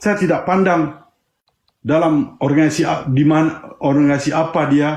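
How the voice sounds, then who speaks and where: A man with a fairly high pitch speaks at a moderate speed. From Aceh. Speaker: independence activist. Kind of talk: panel discussion. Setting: live stream. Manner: impassioned.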